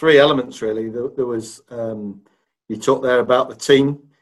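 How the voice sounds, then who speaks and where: A man with an East Midlands accent speaks at a moderate pace in a medium-pitched voice, his intonation flat and monotone. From Leicester, England. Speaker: sports club chief executive. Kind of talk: podcast interview.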